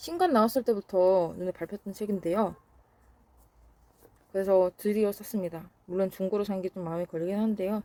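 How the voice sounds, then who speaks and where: A woman's dark, mellow tone carries ordinary pitch variation at a moderate pace. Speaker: book vlogger. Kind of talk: casual vlog talk. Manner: halting, tongue-tied.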